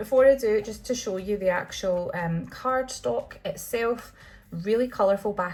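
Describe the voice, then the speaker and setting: A woman in a Scottish accent at a fairly slow pace. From Scotland. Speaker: tarot deck reviewer. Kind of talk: product walkthrough. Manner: hesitant, many fillers.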